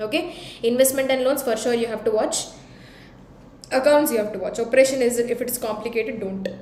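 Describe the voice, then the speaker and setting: A woman with an Indian accent speaks very fast in a high voice, taking long, frequent pauses. Room echo is audible, along with noticeable background noise. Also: ordinary pitch variation. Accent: Indian English, Telugu. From India, Hyderabad. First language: Telugu. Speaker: teacher. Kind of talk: live-stream Q&A revision class. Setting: YouTube live stream. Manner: code-switching Hindi and English.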